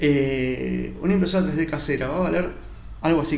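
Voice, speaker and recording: There is noticeable background noise and audible room echo as a man talks. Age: 30s. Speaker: podcast host. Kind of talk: solo reflective monologue. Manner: relaxed, casual.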